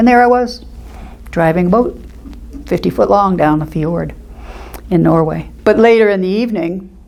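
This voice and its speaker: Someone with an American accent speaks at a moderate pace with ordinary pitch variation. There is audible room echo and noticeable background noise. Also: woman. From Florida, US. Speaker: senior center member. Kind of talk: casual reminiscence.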